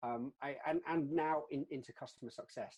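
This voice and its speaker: With a British accent, this man's voice has a dark, mellow tone. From UK. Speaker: customer success leader, webinar co-host. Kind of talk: webinar discussion. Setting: online webinar. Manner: repetitive false starts.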